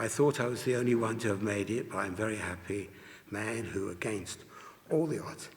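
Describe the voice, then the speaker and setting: A man with an English accent speaks at a fairly low pitch with fairly even intonation. Noticeable background noise and audible room echo fill the recording. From England. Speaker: Holocaust survivor. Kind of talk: testimony. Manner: reading aloud from notes.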